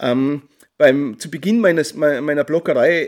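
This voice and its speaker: A man speaks with a strong Tyrolean accent. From Austria, Tyrol. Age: 40s. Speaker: journalist and trail-running blogger. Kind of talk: interview. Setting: remote call.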